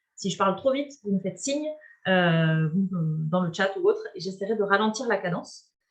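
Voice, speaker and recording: Intonation from the woman is lively. There is a somewhat breathy quality to her voice. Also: medium pitch for a woman. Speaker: webinar presenter, climate organization member. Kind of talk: online webinar introduction. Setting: video call. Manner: fast; hesitant, many fillers.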